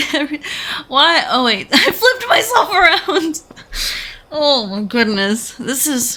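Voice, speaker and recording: Raising and projecting her high voice, a woman sounds animated, with very wide pitch swings. She talks at a fairly slow pace with long, frequent pauses over noticeable background noise. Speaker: gaming video creator. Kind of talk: horror game let's play commentary. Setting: home recording with headphones. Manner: animated, exclamatory.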